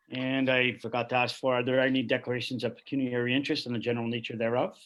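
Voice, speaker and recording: A man talks at a very fast pace in a medium pitch, his intonation monotone and flat. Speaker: council meeting chair. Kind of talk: formal council meeting proceedings. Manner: formal.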